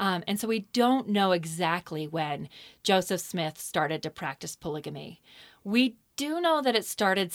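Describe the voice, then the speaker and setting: A woman's ordinary speaking voice with an American accent, medium pitch, lively intonation and a moderate pace, on a very clean recording with a silent background. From southeastern Idaho, US. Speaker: history professor and author. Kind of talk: interview. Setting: studio.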